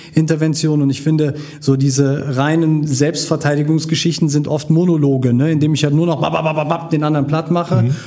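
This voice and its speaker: A man speaks at a moderate pace and a fairly high pitch, in monotone, flat intonation with very even loudness and hardly any pauses, amid audible room echo and noticeable background noise. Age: 40s. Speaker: social worker and martial arts teacher. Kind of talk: casual interview.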